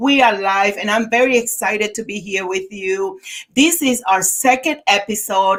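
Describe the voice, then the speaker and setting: A woman with a Dominican accent speaks at a moderate pace in a fairly high voice. Her tone is energetic, with ordinary pitch variation. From Dominican Republic. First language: Spanish. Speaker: podcast host, therapist and author. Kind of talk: live podcast interview.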